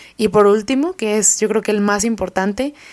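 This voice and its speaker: On a very clean recording with a silent background, a woman speaks at a moderate pace and medium pitch with fairly even intonation. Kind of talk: religious reflection.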